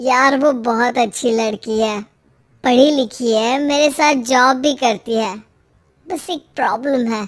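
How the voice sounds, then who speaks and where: A woman's cartoonish character voice, high-pitched and fairly slow, with ordinary pitch variation. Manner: earnest, hesitant.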